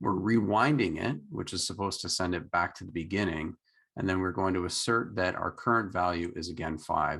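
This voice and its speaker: A man with a Canadian accent speaks at a moderate pace in a very deep, low voice with lively intonation against a quiet background. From Canada. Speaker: meetup organizer and programming teacher. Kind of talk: live coding tutorial.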